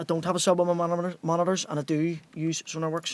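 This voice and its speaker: A man with a Northern Irish accent, very fast speech, and a dry sound with no echo. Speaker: music producer and DJ; DJ. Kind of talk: livestream tutorial. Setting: home studio, live stream. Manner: casual, conversational. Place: studio.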